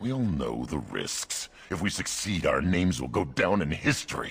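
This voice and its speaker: A man puts on a character voice pitched very deep and low. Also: moderate pace. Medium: video game. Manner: gruff, enthusiastic.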